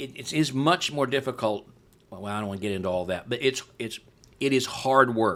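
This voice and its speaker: A man talks fairly quickly in an ordinary speaking voice, at medium pitch with lively intonation. The recording is very clean, with a silent background. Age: 60s. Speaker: pastor and church replanter. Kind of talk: podcast interview.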